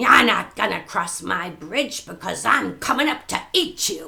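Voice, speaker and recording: A growling, bellowing put-on character voice. It moves at a fairly slow pace. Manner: roaring, threatening.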